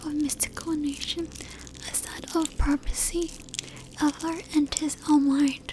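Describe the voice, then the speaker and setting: Soft-spoken and fairly slow, this voice comes through over noticeable background noise. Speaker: ASMR artist. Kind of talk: literature reading.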